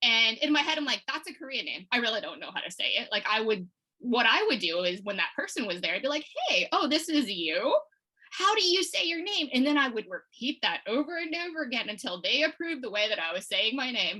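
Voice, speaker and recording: Projecting a raised voice with an American accent, a woman talks at a fairly quick pace in a high pitch that swings very widely. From Texas, Houston area. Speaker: watercolor illustrator. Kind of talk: interview.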